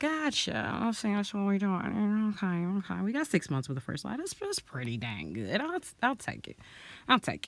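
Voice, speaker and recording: The speaker is loud and animated, moving at a fairly quick pace in a very clean recording with a silent background. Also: woman. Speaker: beauty vlogger. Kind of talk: storytime while doing makeup.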